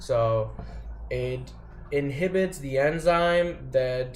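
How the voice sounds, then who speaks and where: There is audible room echo around this man's voice. He speaks at a fairly high pitch and sounds somewhat breathy. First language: not English. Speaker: vlogger sharing personal experience. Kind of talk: casual explanatory monologue. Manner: halting, many fillers and restarts. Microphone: poorly recorded.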